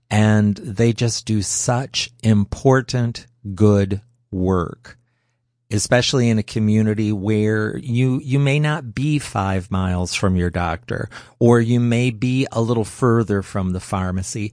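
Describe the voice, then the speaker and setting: Over a quiet background, a man speaks fairly slowly at a fairly low pitch with ordinary pitch variation, in a normal speaking voice. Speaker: radio host. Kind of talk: radio pledge drive, live on-air fundraising appeal.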